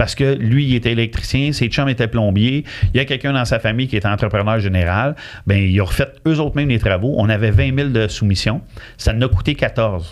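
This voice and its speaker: A man with a Quebec accent at medium pitch, a fairly quick pace and ordinary pitch variation. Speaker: mortgage broker. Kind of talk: casual interview.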